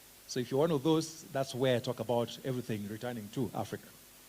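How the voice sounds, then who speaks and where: With a Kenyan accent, a man talks with ordinary pitch variation. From Kenya, Kisumu. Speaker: special education researcher and teacher trainer. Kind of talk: conference presentation. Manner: casual, conversational.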